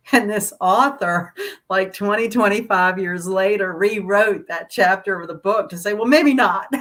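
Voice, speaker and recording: Her voice holds a medium pitch for a woman, and its pitch moves in an ordinary way. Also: moderate pace. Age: 60s. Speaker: astrologer. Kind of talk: casual chat. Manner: halting.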